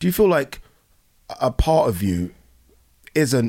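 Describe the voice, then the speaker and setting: Speaking fairly slowly, a man has a southern English accent. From southern England (Brighton), Nigerian-born. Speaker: podcast host. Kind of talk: casual chat.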